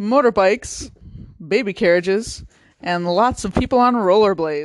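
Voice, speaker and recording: Here is an unremarkable speaking voice. It moves at a fairly slow pace. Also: woman. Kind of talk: mock traffic report, playful deadpan news-anchor banter. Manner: deadpan, joking, trading lines with co-anchor.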